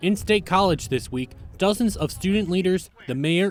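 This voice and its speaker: Male speech at a moderate tempo amid noticeable background noise. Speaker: multimedia journalist. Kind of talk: TV news package narration.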